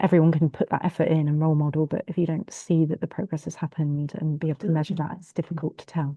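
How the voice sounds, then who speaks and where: Somewhat breathy and very deep, a woman with a Bristolian accent talks at a very fast pace with flat, monotone intonation, big swings in loudness and hardly any pauses. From England, Bristol. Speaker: law firm partner. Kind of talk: online group discussion.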